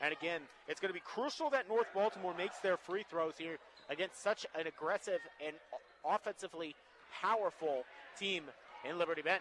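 With an American accent, a man with a high voice talks at a fairly quick pace but leaves long, frequent pauses, over noticeable background noise. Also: ordinary pitch variation. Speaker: color commentator. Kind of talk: live commentary. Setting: courtside at a high school gym.

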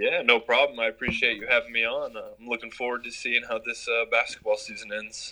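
Amid noticeable background noise, a man with an American accent talks at a fairly quick pace, his loudness swinging widely. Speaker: college sports writer. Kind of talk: casual sports interview.

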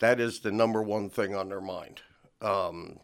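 An ordinary speaking voice from a man with an American accent, medium pitch and moderate pace. The recording is very clean with a silent background. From New Jersey. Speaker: city council candidate. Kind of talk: radio interview. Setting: radio studio.

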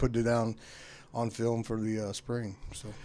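A man's medium-pitched voice with an American accent. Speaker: high school football coach. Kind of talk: radio interview. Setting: radio studio. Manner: loud.

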